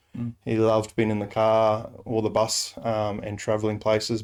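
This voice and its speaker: A man with an Australian accent, a medium pitch and a dark, mellow tone. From Rockhampton, Queensland, Australia. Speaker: Salvation Army officer. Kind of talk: interview answer.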